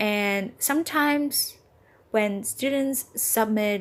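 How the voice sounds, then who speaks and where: A fairly high-pitched woman with a Vietnamese accent and ordinary pitch variation, on a very clean recording with a silent background. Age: 20s. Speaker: English teacher and podcaster. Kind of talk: casual monologue podcast. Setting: apartment with doors open.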